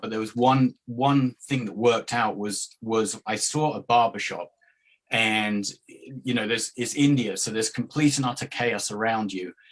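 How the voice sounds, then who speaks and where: A man at a medium pitch and moderate pace, with fairly even intonation. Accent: American. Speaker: YouTube barbershop travel vlogger. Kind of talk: podcast interview.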